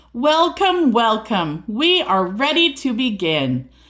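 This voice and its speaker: Doing a put-on character voice, a woman speaks at a fairly high pitch and fairly slow pace with very wide pitch swings on a very clean recording with a silent background. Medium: read story. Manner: brisk, welcoming.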